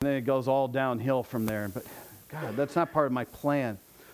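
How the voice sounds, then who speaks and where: A man talks fairly quickly in an ordinary speaking voice, keeping a medium pitch and fairly even intonation. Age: 40s. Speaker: pastor. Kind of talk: sermon. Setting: church.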